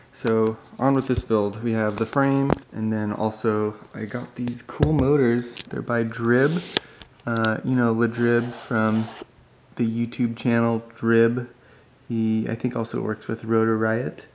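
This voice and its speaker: A man talks at a very slow pace with monotone, flat intonation. Noticeable background noise runs underneath. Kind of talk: casual vlog chat. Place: workshop. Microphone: phone near.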